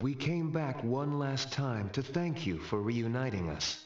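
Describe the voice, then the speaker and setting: A man puts on a character voice at a medium pitch and a fairly slow pace, with a slight echo around him. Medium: video game. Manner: earnest, formal.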